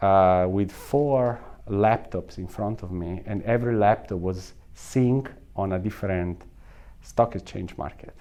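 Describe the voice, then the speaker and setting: A fairly low-pitched man's voice with a strong Italian accent. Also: ordinary pitch variation, fairly slow pace. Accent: thick Italian. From northern Italy. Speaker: salon equipment company executive. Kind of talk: interview.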